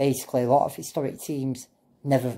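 Against a quiet background, a man speaks at a very fast pace in a monotone, flat delivery. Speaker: football fan vlogger. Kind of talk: casual vlog chat. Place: home room. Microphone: phone near.

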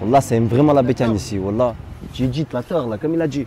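Over noticeable background noise, a man speaks with ordinary pitch variation in a dry sound with no echo. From Lyon, France (Gerland, 7th arrondissement); Lyon. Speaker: rapper; interviewee. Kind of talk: casual chat. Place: street. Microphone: phone near.

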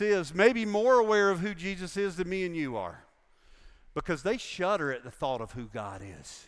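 Against a quiet background, a man with an American accent talks at a moderate pace and a high pitch. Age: 60s. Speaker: pastor. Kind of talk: sermon. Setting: church with congregation. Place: church.

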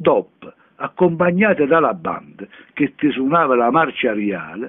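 A man speaking at a fairly slow pace, medium in pitch. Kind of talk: dialect poetry reading.

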